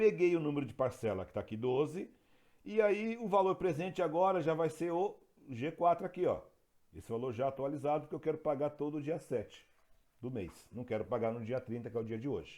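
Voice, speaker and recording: A man talks at a fairly quick pace with a fairly high pitch. His tone is dark and mellow, with lively intonation. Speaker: teacher. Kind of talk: lecture.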